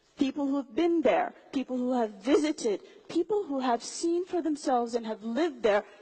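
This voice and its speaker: With lively intonation and a high pitch, a woman talks at a moderate pace over noticeable background noise. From Somali diaspora, raised outside Somalia. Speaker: public speaker. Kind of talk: motivational talk. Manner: animated.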